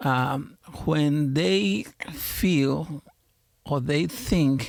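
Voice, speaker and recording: With a strong Mexican accent, a man speaks in a fairly high pitch with lively intonation. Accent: heavy Mexican Spanish. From Mexico. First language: Spanish. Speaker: pastor. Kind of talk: podcast interview. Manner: halting, many fillers.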